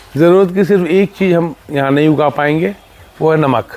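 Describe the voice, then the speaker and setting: A man speaks at a moderate pace with ordinary pitch variation against noticeable background noise. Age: 60s. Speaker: farmer, former corporate manager. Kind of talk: interview.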